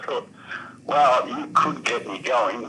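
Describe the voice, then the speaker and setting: A man speaks fairly slowly while noticeable noise fills the background. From Australia. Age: 60s. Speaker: caller. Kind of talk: phone call-in chat.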